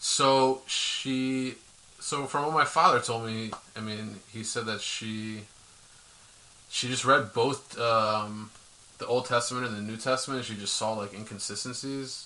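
An American man speaks at a medium pitch with fairly even intonation. There is noticeable background noise and audible room echo. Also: fairly slow pace. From US Northeast, Philadelphia. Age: 30s. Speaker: interview guest. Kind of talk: personal testimony.

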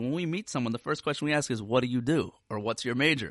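Over a quiet background, a man with a fairly high pitch uses an ordinary speaking voice and lively intonation. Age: 40s. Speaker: rabbi and therapist. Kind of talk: solo podcast talk. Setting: podcast recording.

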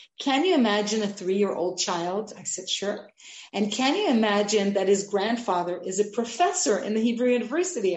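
A somewhat breathy woman with an American accent speaks at a moderate pace. Her pitch variation is ordinary, and the room echo is audible. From Israel and abroad, partly Los Angeles. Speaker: art curator and lecturer. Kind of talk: interview.

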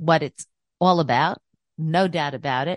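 A woman with a fairly low pitch speaks at a moderate pace and ordinary pitch variation. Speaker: radio host. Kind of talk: talk radio interview. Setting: studio. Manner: animated.

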